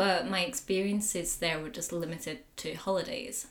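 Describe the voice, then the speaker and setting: In a northern English accent, a woman speaks at a fairly slow pace. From northern England, Pennines. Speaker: wildlife artist and dive instructor. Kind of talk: casual chat.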